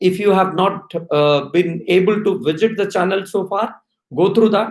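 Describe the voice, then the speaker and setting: A man with an Indian accent, high in pitch, his intonation fairly even. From India, Odisha (Orissa-Andhra border). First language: Oriya. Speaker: HR executive. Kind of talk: live-stream talk to students. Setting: live stream while traveling. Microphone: possible bandwidth problems.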